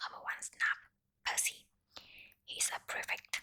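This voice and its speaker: Whispering at a fairly slow pace, a woman speaks. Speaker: ASMR content creator. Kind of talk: softly whispered ASMR bedtime story reading. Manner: whispered, soft.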